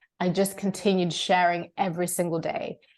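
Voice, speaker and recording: Monotone, flat intonation from a woman at medium pitch, delivered at a moderate pace. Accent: British. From Zimbabwe. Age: 30s. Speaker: coach. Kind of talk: podcast interview.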